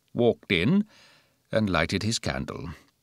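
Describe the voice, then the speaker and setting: A man with a fairly low pitch talks at a moderate pace in a normal speaking voice. The sound is dry and close with no echo, on a very clean recording with a silent background. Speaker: professional audiobook narrator. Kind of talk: audiobook narration of a classic novel.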